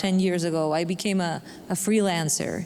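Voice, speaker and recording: A woman with a non-native accent speaks at a moderate pace with fairly even intonation. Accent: noticeable non-native. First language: Spanish. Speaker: bilingual journalist. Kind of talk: panel discussion.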